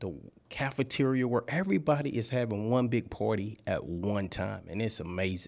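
Over a very clean recording with a silent background, a man with a Louisiana accent speaks at a medium pitch and moderate pace, his intonation lively. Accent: Louisiana Southern US. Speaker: party rental business owner. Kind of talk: radio interview. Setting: studio.

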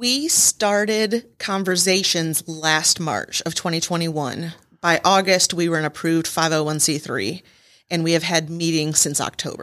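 At a moderate pace, a woman with an American accent and an unremarkable speaking voice talks at a fairly low pitch with ordinary pitch variation, in a very clean recording with a silent background. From Michigan. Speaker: nonprofit chapter president. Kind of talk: radio interview. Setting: studio.

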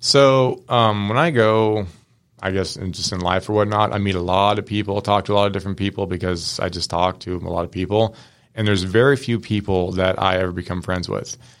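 An ordinary speaking voice belongs to a man with an American accent, fairly low in pitch, on a very clean recording with a silent background. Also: fairly even intonation. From Washington State, US West Coast. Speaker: mechanic shop co-owner. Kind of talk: casual interview. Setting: studio.

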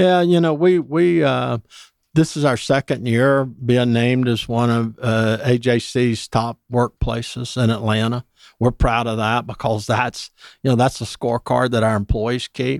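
A man speaks with a Southern US accent at a medium pitch and ordinary pitch variation. The sound is dry and close, with no echo. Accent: Southern US (Georgia). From US South, Georgia (Dublin). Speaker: pest control company executive. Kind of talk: radio interview. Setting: radio studio.

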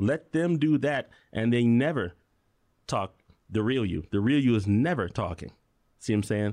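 Against a quiet background, a man with an American accent speaks at a medium pitch and moderate pace, with lively intonation and long, frequent pauses. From Chicago. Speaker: electrician and musician. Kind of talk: casual chat.

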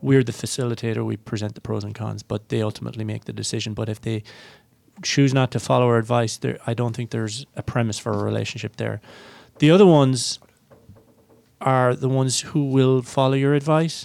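A man with an Irish accent talks at a fairly quick pace in a medium pitch, with ordinary pitch variation. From Ireland. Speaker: chief investment officer. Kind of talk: radio panel discussion.

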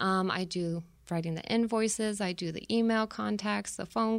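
A woman with an American accent uses a normal speaking voice at medium pitch and a fairly slow pace. Her intonation is fairly even in a very clean recording with a silent background. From Tucson, Arizona. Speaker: production manager at family business. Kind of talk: interview. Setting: studio.

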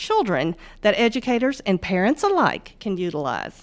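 Medium-pitched speech from a woman, very cleanly recorded against silence. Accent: Southern US. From US South, northwest Mississippi. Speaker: bank financial wellness manager. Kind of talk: business podcast interview. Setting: studio.

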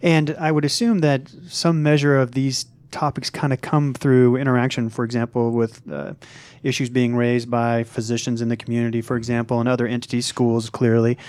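With a normal speaking voice and an American accent, a man talks at a fairly quick pace with fairly even intonation in a very clean recording with a silent background. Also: medium pitch for a man. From Missouri, US Midwest. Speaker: radio host. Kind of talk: radio interview. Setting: studio.

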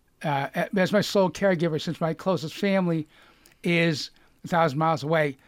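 A man speaks with a Boston accent at a high pitch. The recording is very clean, with a silent background. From Lexington, Massachusetts. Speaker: cancer survivor and author. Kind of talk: casual interview.

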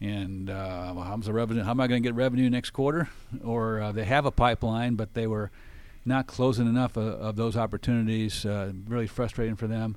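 A man at medium pitch, fairly quick pace, an ordinary speaking voice. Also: fairly even intonation. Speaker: radio host. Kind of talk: interview for a business radio show.

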